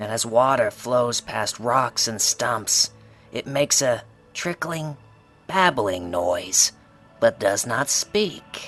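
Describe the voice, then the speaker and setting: Over faint music in the background, a put-on character voice speaks at a very slow pace. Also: man, medium pitch for a man. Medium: audio drama. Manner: sly, casual, self-assured.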